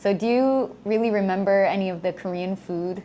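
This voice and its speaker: Pitch varies in an ordinary way as the talk proceeds at a moderate pace, with noticeable background noise behind it. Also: woman. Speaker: English teacher. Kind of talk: casual talk to camera.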